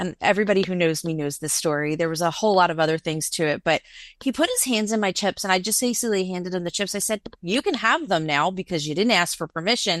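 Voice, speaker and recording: A woman speaks at a very fast pace in an animated tone. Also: quiet background. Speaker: business co-founder, panelist. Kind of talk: panel discussion. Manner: loud.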